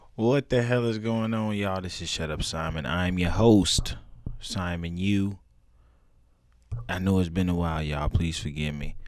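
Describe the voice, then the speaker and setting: Speaking at a moderate pace with long, frequent pauses, a man with a very deep, low pitch and ordinary pitch variation is heard over audible room echo. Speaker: comedy podcast host. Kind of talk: casual monologue. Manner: animated. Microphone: new headphones.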